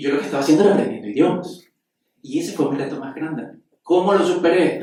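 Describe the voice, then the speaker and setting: A man is speaking. The room echo is audible. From Bolivia. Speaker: physician. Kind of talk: panel discussion.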